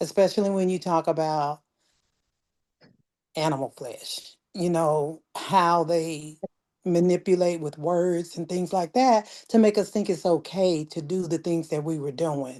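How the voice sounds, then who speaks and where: A woman's fairly low-pitched voice, a normal speaking voice with ordinary pitch variation at a fairly slow pace. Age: 60s. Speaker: challenge participant. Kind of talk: casual group video call introduction. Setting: video call.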